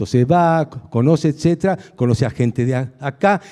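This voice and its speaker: A man's dark, mellow voice with lively intonation, in a dry, close sound with no echo. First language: Hungarian (speaking Spanish). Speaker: philosophy lecturer. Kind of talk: lecture. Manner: halting, many fillers.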